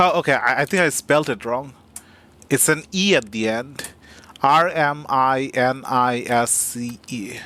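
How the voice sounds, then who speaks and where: A man with a non-native accent, medium-pitched and bright and sharp in tone, at a fairly slow pace with ordinary pitch variation. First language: not English. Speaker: game streamer. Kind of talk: live gameplay commentary. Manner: halting.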